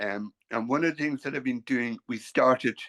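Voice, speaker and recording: Speaking at a fairly slow pace with an Irish accent, a man uses a medium pitch, recorded with a dry, close sound with no echo against a quiet background. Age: 60s. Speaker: painter. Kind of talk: casual chat. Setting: video call. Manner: halting.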